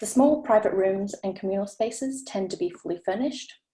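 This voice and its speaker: A woman with an Australian accent speaks at a very fast pace in a medium pitch. Her intonation is lively. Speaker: architecture researcher. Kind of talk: presentation. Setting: video call.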